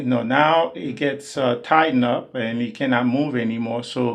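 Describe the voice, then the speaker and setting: The speech moves at a fairly slow pace with fairly even intonation. Room echo can be heard. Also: man. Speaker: DIY video maker. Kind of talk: tutorial. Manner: halting, many fillers; loud.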